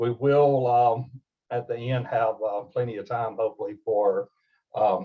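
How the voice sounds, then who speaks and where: A man's somewhat breathy, medium-pitched voice, fairly slow and fairly even in intonation. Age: 60s. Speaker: healthcare ethics presenter, former chaplain. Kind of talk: webinar presentation. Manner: hesitant, many filler words.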